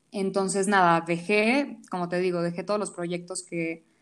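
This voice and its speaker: This woman has a medium pitch. She talks at a moderate pace. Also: very clean recording, silent background. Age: 20s. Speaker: home cook and food content creator. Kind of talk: casual interview.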